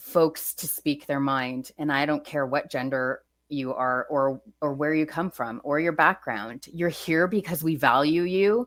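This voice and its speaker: A woman speaks loudly at a fairly slow pace in a bright, sharp tone, on a very clean recording with a silent background. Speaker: emergency management leader. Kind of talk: podcast interview. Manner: animated.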